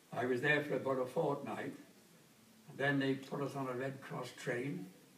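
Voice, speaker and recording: Noticeable background noise sits under a man speaking at a medium pitch. He keeps a moderate pace with a flat, monotone intonation. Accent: Welsh. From Wales. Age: 80s+. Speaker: war veteran; former engineer. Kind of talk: oral history interview answer.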